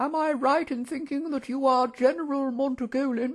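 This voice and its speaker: Using a put-on character voice, a man speaks at a moderate pace with an extremely high pitch. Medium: read story. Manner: formal, courteous, measured.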